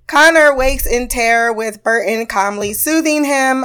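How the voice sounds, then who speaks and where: A woman speaks with an animated tone on a very clean recording with a silent background. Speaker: TV review podcaster. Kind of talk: casual solo review monologue. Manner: animated, profane.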